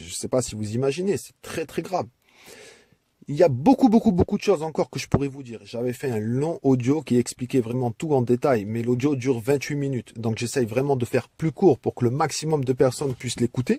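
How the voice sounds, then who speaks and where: A man speaks at a fairly quick pace in a dark, mellow tone, somewhat breathy, with big swings in loudness. The sound is dry and close with no echo, on a very clean recording with a silent background. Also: medium pitch for a man, ordinary pitch variation. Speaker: religious message speaker. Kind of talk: audio message to community. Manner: impassioned.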